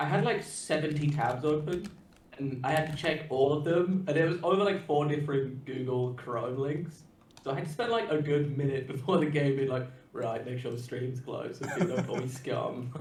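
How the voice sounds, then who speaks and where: A man speaks in a somewhat breathy voice. Audible room echo is present. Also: fairly high pitch for a man, ordinary pitch variation, moderate pace. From UK. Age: 20s. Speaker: Magic card game player. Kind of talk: casual chat.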